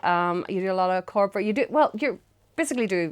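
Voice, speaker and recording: Against a very clean recording with a silent background, a woman with a Northern Irish accent speaks with lively intonation. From Northern Ireland, Lurgan. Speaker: music show host. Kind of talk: casual interview. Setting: studio interview on a sofa.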